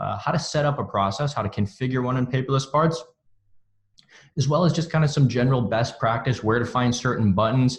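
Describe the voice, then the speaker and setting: At a fairly quick pace, a man with medium pitch and ordinary pitch variation speaks in a somewhat breathy voice. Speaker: software onboarding team lead. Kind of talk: webinar tutorial. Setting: office, online webinar. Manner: halting with fillers.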